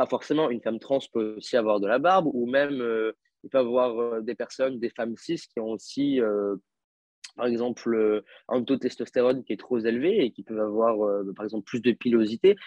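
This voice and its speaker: Pitch varies in an ordinary way as the words come at a moderate speed. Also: man, medium pitch for a man. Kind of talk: interview testimony. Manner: hesitant, many fillers.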